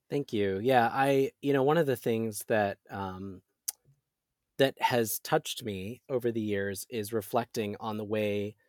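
A normal speaking voice with an American accent moves at a moderate pace with ordinary pitch variation, the sound dry and close with no echo on a very clean recording with a silent background. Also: man. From US Pacific Northwest, rural Oregon. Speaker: LGBTQ advocacy spokesperson. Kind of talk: interview.

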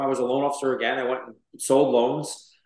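Very fast and in a monotone, flat intonation, a man with an American accent speaks at a fairly high pitch amid audible room echo. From US, Brooklyn, New York. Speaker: real estate entrepreneur. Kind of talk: interview.

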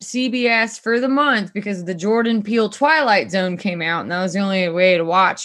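A woman with an unremarkable speaking voice at medium pitch, with ordinary pitch variation, a moderate pace and hardly any pauses. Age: 20s. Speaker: returning podcast guest. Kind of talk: casual chat. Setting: at home on a laptop.

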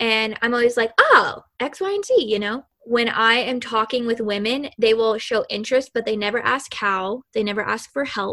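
A woman with an American accent talks in an animated tone at a moderate pace. Her voice is fairly high, and she hardly pauses at all. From Kentucky, US South. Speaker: podcast host. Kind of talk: interview. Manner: excitable.

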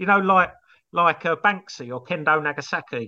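Against a quiet background, a man speaks at a fairly quick pace with a bright, sharp tone and lively intonation. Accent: English. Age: 50s. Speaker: comedy songwriter and musician. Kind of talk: casual chat.

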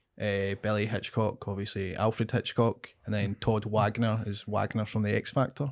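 Speaking with a Scottish accent, a man delivers his words at a fairly low pitch in a monotone, flat intonation with hardly any pauses. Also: moderate pace, very clean recording, silent background. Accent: Scottish (Ayrshire). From Scotland, Ayrshire. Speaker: comedian. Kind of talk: casual chat.

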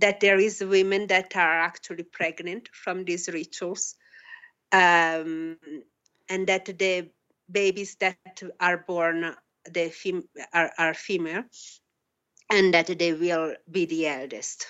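At a very slow pace, a woman speaks with fairly even intonation and long, frequent pauses. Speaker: PhD student in anthropology. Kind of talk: interview. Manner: halting.

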